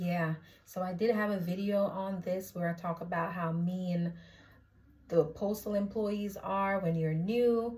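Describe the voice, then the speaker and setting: A woman speaks at medium pitch in a somewhat breathy voice. Her pace is fairly slow and her intonation fairly even. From Jamaica. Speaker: postal clerk vlogger. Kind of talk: casual vlog. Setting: indoors at her mother's house in Jamaica.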